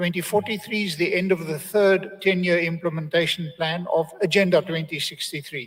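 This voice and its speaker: The man's pitch is high, with ordinary variation. He speaks in a South African accent. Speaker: think-tank forecasting researcher, panelist. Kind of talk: conference presentation.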